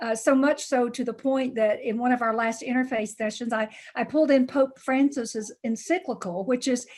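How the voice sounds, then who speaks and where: A high-pitched woman in a Tennessee accent, at a moderate pace with ordinary pitch variation. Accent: Southern US (Tennessee). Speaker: pastor. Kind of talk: community meeting talk.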